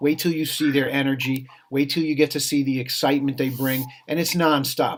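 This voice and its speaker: A man speaks fairly quickly in a fairly high voice with monotone, flat intonation. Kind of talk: interview. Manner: fast.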